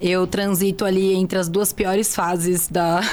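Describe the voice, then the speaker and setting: Noticeable background noise sits behind this woman's voice. She speaks at medium pitch and a fairly slow pace. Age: 30s. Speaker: nurse. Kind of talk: interview.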